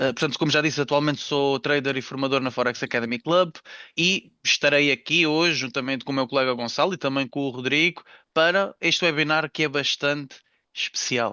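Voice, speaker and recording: This man has a normal speaking voice with a fairly high pitch. He speaks fairly quickly with fairly even intonation. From Algarve, Portugal. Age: 20s. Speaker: trader and trading instructor. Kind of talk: webinar presentation.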